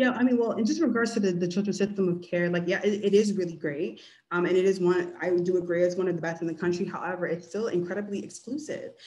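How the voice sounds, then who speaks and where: With audible room echo, a woman speaks very fast with hardly any pauses, her medium-pitched voice dark and mellow in tone and showing ordinary pitch variation. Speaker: community engagement manager, social worker. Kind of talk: webinar presentation and Q&A. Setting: video call.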